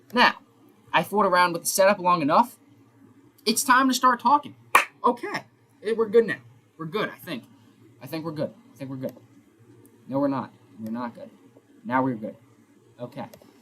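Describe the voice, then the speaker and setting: A fairly quick pace with very wide pitch swings, big swings in loudness, long, frequent pauses, and noticeable background noise. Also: man, high pitch for a man. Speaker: sports streamer. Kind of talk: casual live stream commentary. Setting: live stream with face cam.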